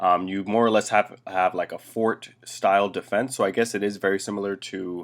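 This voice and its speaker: With a fairly low pitch and monotone, flat intonation, a man talks at a moderate pace with hardly any pauses in a very clean recording against a silent background. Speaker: game developer streamer. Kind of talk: live stream commentary. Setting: live stream. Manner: hesitant, many fillers.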